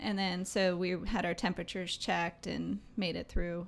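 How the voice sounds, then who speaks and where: Here a woman talks with a fairly low pitch and audible vocal fry. Her delivery is flat and monotone. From Maryland. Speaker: travel company employee and scuba diver. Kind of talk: casual interview.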